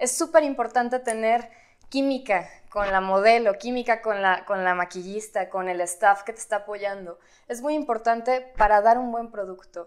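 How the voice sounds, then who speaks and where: With ordinary pitch variation and a moderate pace, the woman talks while the background stays quiet. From Guadalajara, Mexico. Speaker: model and actress. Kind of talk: interview. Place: studio.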